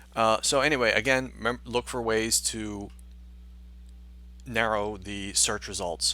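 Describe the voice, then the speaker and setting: This recording of a man is very clean. The background is silent. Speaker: university instructor. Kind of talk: screen-recorded tutorial. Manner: fast; hesitant, many fillers.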